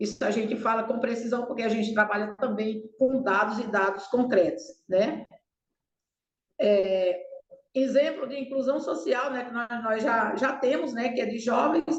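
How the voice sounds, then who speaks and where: Someone speaks in a plain, everyday voice at a fairly slow pace with ordinary pitch variation. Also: woman, fairly high pitch for a woman. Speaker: waste-picker cooperative leader. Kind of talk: webinar panel presentation. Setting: online video call.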